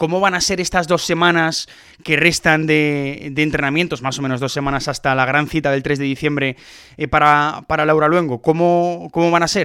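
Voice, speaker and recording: A man with a plain, everyday voice speaks at a fairly high pitch and moderate pace with fairly even intonation, recorded very cleanly against a silent background. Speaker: podcast host. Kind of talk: interview.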